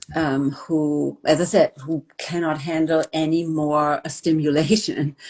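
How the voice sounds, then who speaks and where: Very slow, monotone, flat delivery from a woman with a very deep, low pitch and hardly any pauses. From Germany. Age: 60s. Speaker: hair care expert and researcher. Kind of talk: interview. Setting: live video stream.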